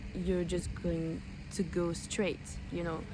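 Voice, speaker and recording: The room echo can be heard. A woman talks at a fairly slow pace. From French-speaking West Africa. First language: French (and an African mother tongue). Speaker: language learning vlogger. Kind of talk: casual vlog talk. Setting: outdoors. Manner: hesitant, many fillers.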